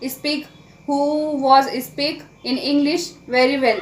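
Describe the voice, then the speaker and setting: A high-pitched woman at a very slow pace, with fairly even intonation. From India. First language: Marathi. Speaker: English learning YouTuber. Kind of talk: casual vlog talk to camera. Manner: halting, with fillers and self-corrections.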